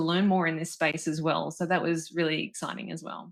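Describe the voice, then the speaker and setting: A woman speaks at a fairly low pitch with fairly even intonation in a very clean recording with a silent background. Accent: Australian. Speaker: corporate learning director. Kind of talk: interview.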